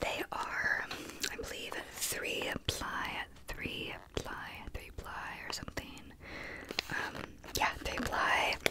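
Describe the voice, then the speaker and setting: A soft-spoken woman whispering at a very slow pace, with long, frequent pauses, over loud background noise. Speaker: ASMR creator. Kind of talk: soft-spoken ASMR show-and-tell. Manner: soft close-mic ASMR whisper. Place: home room. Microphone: studio mic.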